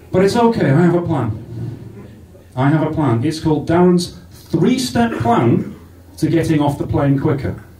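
A man's fairly high, animated voice at a moderate pace, with very wide pitch swings and audible room echo. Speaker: stand-up comedian. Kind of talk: stand-up comedy. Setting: stage with live audience. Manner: animated, sweary, crowd-teasing.

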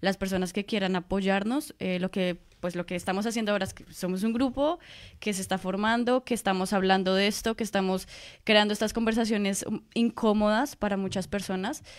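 In an ordinary speaking voice, a woman speaks fairly quickly at a medium pitch with fairly even intonation, on a very clean recording with a silent background. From Colombia. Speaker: master's student and activist. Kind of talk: radio interview.

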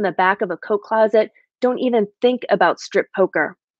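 A woman's medium-pitched voice at a moderate pace, with ordinary pitch variation, a dry sound with no echo and a quiet background. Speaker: guest poet. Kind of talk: poetry reading. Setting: video call. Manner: measured, reflective, steady read with quiet, narrative delivery. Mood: calm, reflective. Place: home room. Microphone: webcam.

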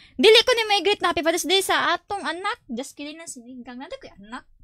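Speaking very fast in a raised, projected voice, a woman with a Visayan accent sounds animated, with a bright, sharp tone and very wide pitch swings. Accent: Bisaya accent in Tagalog. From Philippines, Visayas; Philippines. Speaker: gaming streamer. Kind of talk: casual live stream chat. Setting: live stream. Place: home room. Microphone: studio mic.

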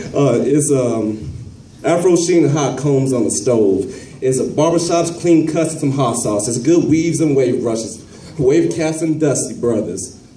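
There is audible room echo and light background noise as a man with an American accent talks at a fairly slow pace with ordinary pitch variation. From Kansas City, Missouri. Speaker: spoken word poet. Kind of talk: spoken word poetry performance. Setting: live performance at a college. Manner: humorous. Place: classroom. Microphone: handheld.

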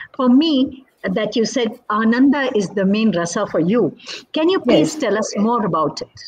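Over light background noise, a woman with a somewhat breathy, fairly high voice speaks at a moderate pace, her pitch swinging very widely. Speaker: interviewer and dance teacher; interviewer, dance teacher. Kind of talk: interview. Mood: warm, admiring. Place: home room. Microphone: video call.

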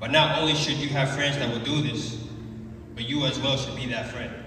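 Strong room echo surrounds a man speaking at a moderate pace. His pitch is medium and his intonation fairly even.

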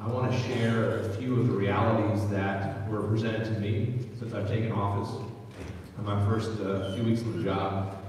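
Speech at a moderate pace comes through strong room echo and light background noise. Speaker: county executive. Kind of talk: town hall speech. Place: hall.

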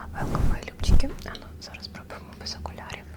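A woman whispering at a fairly quick pace over noticeable background noise. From Mariupol, Ukraine. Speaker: ASMR creator. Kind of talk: ASMR whisper talk with paper cutting. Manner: whispered; soft-spoken, calming.

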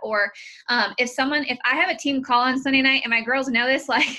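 A woman with a high pitch talks at a fairly quick pace. Her intonation is fairly even, and the background is quiet. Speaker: team coach. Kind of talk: motivational team call talk. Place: home room. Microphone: video call.

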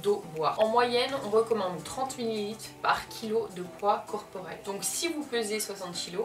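A woman at a fairly slow pace with ordinary pitch variation, over clear music in the background. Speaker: beauty youtuber. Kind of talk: tutorial. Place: home room.

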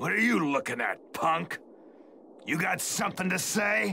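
Doing a cartoonish character voice, a man speaks at a fairly slow pace with a high pitch, lively intonation, a bright, sharp tone and vocal fry.

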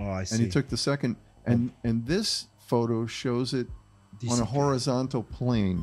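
Faint background music behind a man at a moderate pace with ordinary pitch variation. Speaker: podcast host presenting a case. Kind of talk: podcast discussion. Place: studio. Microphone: studio mic.

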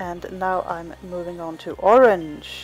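Music sits in the background as a woman with a Swedish accent talks with ordinary pitch variation. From Sweden. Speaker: wool spinner. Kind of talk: tutorial narration.

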